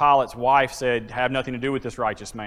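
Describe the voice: Simply plain reading aloud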